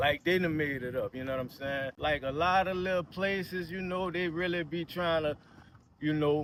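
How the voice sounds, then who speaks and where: A man talks at a moderate pace. His pitch is high and his intonation fairly even. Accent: New Orleans. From New Orleans, Louisiana. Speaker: local neighborhood guide. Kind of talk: casual interview walking tour. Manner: relaxed, filler-heavy with repetitions.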